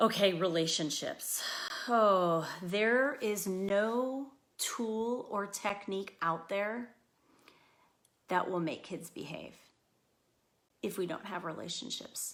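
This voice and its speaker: On a very clean recording with a silent background, a woman speaks at medium pitch with ordinary pitch variation. Her pace is very slow, with long, frequent pauses. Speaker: school psychologist. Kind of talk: parenting talk. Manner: loud.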